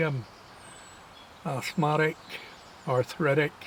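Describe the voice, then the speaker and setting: Intonation stays fairly even throughout, and the voice is somewhat breathy. The pace is fairly slow. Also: man. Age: 60s. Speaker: wildlife vlogger. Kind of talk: casual vlog monologue. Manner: reflective, relaxed.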